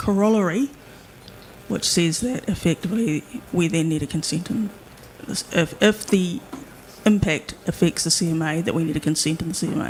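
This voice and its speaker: Soft-spoken and fairly low in pitch, a woman with a New Zealand accent talks at a moderate pace with ordinary pitch variation, long, frequent pauses and noticeable background noise. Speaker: hearing panel member. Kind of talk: legal hearing questioning. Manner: halting.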